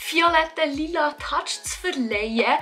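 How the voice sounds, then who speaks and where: A raised, projected voice carries over music in the background. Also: woman. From Switzerland. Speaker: beauty and lifestyle YouTuber. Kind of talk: DIY hair tutorial talk to camera.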